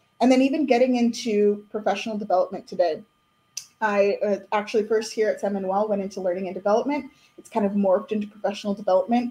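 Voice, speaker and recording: A woman speaks very fast in a dark, mellow tone. Her intonation stays fairly even, and her voice is somewhat breathy. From Southern California, Inland Empire. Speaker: human resources and professional development manager. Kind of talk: interview.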